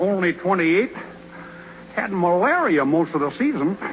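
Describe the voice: A man's put-on character voice, high-pitched with big pitch swings, over faint background noise. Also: fairly slow pace.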